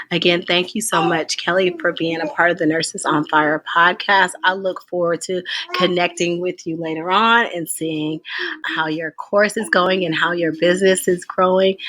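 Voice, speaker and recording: A woman with a fairly low pitch talks at a moderate pace, her intonation fairly even, while noticeable background noise runs underneath. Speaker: podcast host, nurse. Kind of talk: interview wrap-up and podcast commentary.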